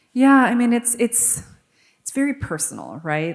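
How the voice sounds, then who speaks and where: A shaky woman's voice with an American accent, moderate pace, very clean recording and silent background. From New York City. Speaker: author. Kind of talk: interview.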